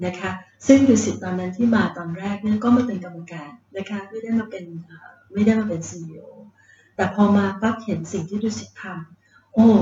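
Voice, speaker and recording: Ordinary pitch variation at a medium level in a female speaker's unremarkable speaking voice. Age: 50s. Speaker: hotel chief executive. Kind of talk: interview. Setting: on location in Phuket.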